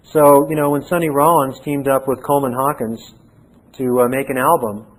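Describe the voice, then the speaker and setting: This man has a fairly high voice and talks at a fairly quick pace with fairly even intonation. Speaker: seminary professor. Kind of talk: lecture. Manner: pauses to find words.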